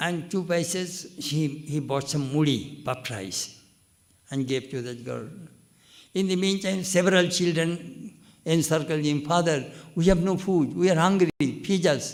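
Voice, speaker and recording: Fairly slow delivery with long, frequent pauses, ordinary pitch variation and audible room echo. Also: man, fairly high pitch for a man. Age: 80s+. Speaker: monk. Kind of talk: spiritual discourse.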